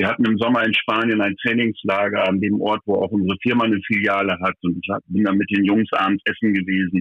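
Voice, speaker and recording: The speech moves at a fairly quick pace with hardly any pauses. Its intonation is monotone and flat. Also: man, fairly low pitch for a man. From Lower Saxony, Vechta. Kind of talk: interview. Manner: halting.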